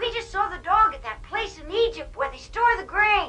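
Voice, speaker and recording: A cartoonish character voice at an extremely high pitch talks at a moderate pace over clear background noise. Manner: stiff, formal, no contractions.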